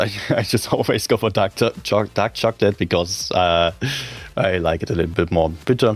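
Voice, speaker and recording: With a very deep, low pitch, a man talks at a moderate pace. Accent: strong German. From Germany. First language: German. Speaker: game streamer and tournament caster. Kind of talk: live-stream gameplay commentary. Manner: animated.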